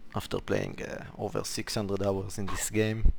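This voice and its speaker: With a non-native accent, a man talks at a moderate pace and fairly low pitch in a monotone, flat intonation. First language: not English. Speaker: gaming YouTuber. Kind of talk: game tutorial. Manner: hesitant, many fillers.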